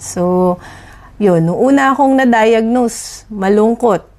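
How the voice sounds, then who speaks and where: A woman's lively intonation unfolds at a very slow pace. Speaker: dentist and patient. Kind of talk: testimony. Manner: steady.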